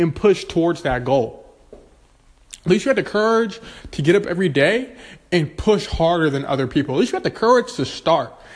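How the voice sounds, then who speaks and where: Animated in tone and fairly quick, a man speaks at a high pitch with very wide pitch swings. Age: 20s. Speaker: podcast host and real estate agent. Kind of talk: motivational monologue.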